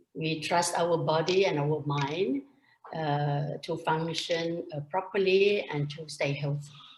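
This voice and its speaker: Very slow delivery with fairly even intonation. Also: woman, very deep, low pitch for a woman. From Thailand. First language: Thai. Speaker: entrepreneur and pharmacist. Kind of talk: interview.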